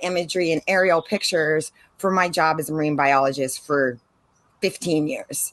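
A woman speaks at a fairly slow pace with ordinary pitch variation, in a dry sound with no echo. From San Diego, California; California. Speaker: marine biologist and drone instructor; drone instructor. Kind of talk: casual interview chat. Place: garden. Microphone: video call.

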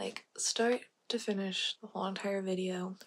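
A woman speaks in a somewhat breathy voice with fairly even intonation. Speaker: ASMR creator. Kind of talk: ASMR roleplay, personal attention, direct instructions. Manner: fast, direct, commanding. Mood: playful, teasing. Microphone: studio mic.

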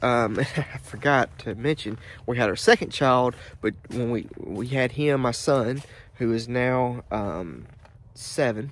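A man's voice with ordinary pitch variation, recorded dry with no echo. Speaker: vlogger. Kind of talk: casual vlog chat. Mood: relaxed, reflective storytelling. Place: open country. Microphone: phone near.

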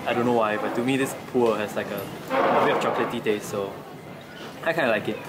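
Music runs behind the speech. The man's delivery is very fast. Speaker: vlogger. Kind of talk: casual vlog chat. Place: shop. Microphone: phone near.

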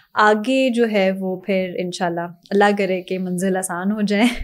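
A woman speaks fairly slowly in an Urdu accent. The background is quiet. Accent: Urdu-style accent even in Punjabi. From Pakistan, Punjabi family. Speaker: TV co-host and actress; TV co-host, actress. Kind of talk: casual interview. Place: studio. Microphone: studio mic.

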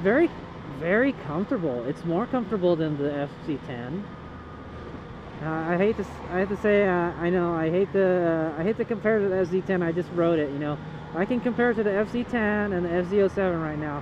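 The recording has noticeable background noise and a dry sound with no echo. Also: moderate pace. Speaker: motorcycle rider reviewer. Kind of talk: casual riding commentary. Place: motorbike.

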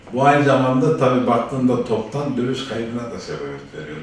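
There is light background noise and strong room echo as a man talks at a moderate pace and a fairly low pitch. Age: 60s. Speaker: auto mechanic and business owner; interviewee. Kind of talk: interview; interview answer. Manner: hesitant, many fillers. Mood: relaxed, candid. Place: office.

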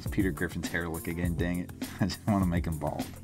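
Over background music, a man talks very fast in a very deep, low voice. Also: fairly even intonation. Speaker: host of an art drawing show. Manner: casual, joking.

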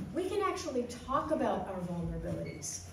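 A woman speaks at a moderate pace, with audible room echo and light background noise. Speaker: minister leading a children's segment. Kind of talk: sermon-style talk for all ages. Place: hall.

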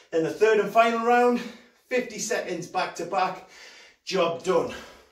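In a room with audible echo but a quiet background, a man with a high pitch speaks fairly slowly with ordinary pitch variation. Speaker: fitness coach. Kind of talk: workout instruction. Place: home room. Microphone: camera far.

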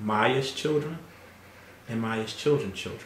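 A man's voice carries audible room echo against light background noise. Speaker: family interviewer. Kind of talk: casual family interview. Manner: warm, hesitant with fillers. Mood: warm, fond, reminiscing. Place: home room.

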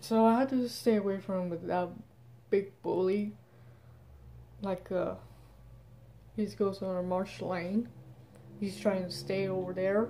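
Dark and mellow in tone, the voice moves at a fairly slow pace with fairly even intonation. Long pauses come often, over light background noise. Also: woman. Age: 20s. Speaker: vlogger. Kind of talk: casual vlog monologue. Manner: halting. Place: home room. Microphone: phone near.

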